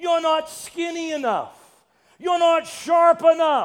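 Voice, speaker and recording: Here a man speaks at an extremely high pitch. His tone is playful. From Massachusetts (Brockton). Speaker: preacher, urban ministry director. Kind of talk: guest sermon in church, Pentecostal-style preaching with congregational call-and-response. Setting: church service with congregation. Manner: playful, joking asides to the congregation; animated, exhorting preacher cadence with repetitions and rising calls for amens.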